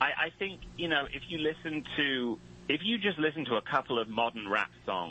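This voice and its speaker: A man with a British accent talks at a moderate pace, his fairly high voice making very wide pitch swings. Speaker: comedian and rapper. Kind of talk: casual interview chat.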